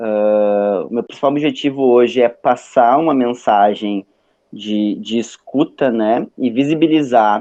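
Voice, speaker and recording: His intonation stays fairly even as the man talks at a medium pitch. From southern Brazil, Porto Alegre. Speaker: psychologist and lecturer. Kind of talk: online lecture. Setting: video call. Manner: casual, hesitant with fillers.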